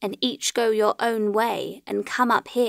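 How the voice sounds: This clip features a natural reading voice.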